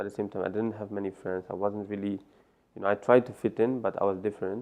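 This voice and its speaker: A man speaks with an Iranian accent. His pitch is fairly low and his intonation monotone and flat. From Netherlands, born in Afghanistan. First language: Farsi. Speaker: life coach. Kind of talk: interview.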